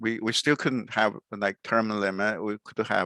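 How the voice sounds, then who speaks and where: In a very clean recording with a silent background, a man with a Chinese accent speaks fairly slowly at a fairly low pitch, his intonation fairly even and the sound dry and close with no echo. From China. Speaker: podcast host. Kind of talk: interview. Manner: halting, many fillers.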